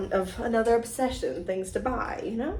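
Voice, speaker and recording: Noticeable background noise and audible room echo surround a woman's voice. She speaks at a fairly quick pace and a fairly high pitch. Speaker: cross-stitch video host. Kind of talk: casual show-and-tell vlog. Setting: home video recording with ring light. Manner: animated.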